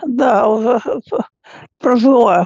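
A woman's fairly high voice with a slightly mellow tone, at a slow pace with ordinary pitch variation, in a dry, close sound with no echo.

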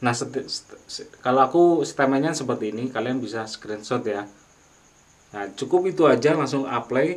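A man speaks at a moderate pace and a medium pitch, with ordinary pitch variation. Long, frequent pauses break up his speech. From Indonesia. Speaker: YouTuber, music tutorial maker. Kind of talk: tutorial. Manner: casual, hesitant with fillers.

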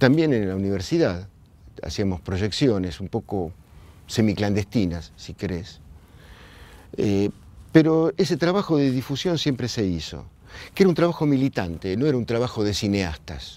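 With a Rioplatense accent, a man speaks at a moderate pace in a fairly low, dark, mellow voice, his pitch swinging very widely between long, frequent pauses, in a dry sound with no echo. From Argentina, La Plata; Argentina. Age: 60s. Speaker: filmmaker. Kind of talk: oral history testimony. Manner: halting, with repetitions. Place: hall. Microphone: lapel.

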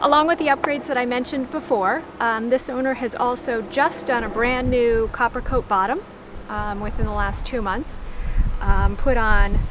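Someone speaks at a moderate pace in a dry recording with no echo and noticeable background noise. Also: woman. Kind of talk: tour commentary. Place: boat.

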